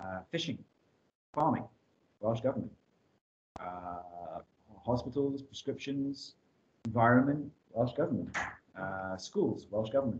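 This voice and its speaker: Somewhat breathy, a man speaks at a fairly slow pace with lively intonation. Light background noise is present. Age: 30s. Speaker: teacher. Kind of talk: lecture. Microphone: webcam.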